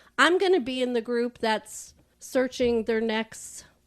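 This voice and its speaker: An ordinary speaking voice moves at a fairly slow pace with lively intonation against a quiet background. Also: woman. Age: 60s. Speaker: podcast guest, speed dating participant. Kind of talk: casual chat.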